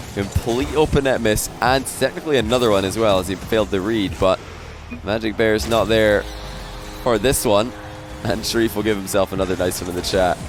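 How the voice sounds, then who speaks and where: With music in the background, a man with a Scottish accent talks at a fairly quick pace with ordinary pitch variation. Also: fairly low pitch for a man. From Scotland. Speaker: esports caster. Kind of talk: live commentary. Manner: animated.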